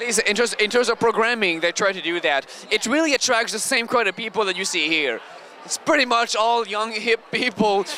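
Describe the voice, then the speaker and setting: Over noticeable background noise, a man with a Quebec accent uses a raised, projected voice at a high pitch, talking at a fairly quick pace with ordinary pitch variation. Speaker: convention video podcast host. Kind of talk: casual convention interviews and banter.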